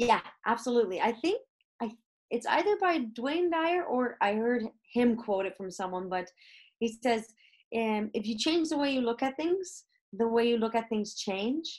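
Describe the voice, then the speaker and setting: With a plain, everyday voice, this woman talks at a moderate speed. Her tone sits fairly high and moves in a lively way. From Canada. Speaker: comedian and educator. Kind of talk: interview.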